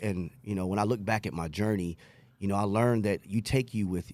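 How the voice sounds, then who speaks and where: At a fairly quick pace, a man with a fairly low pitch talks in a plain, everyday voice. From New York City (Queens), moved to Texas at age 12. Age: 40s. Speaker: recovering addict sharing story. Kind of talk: testimony.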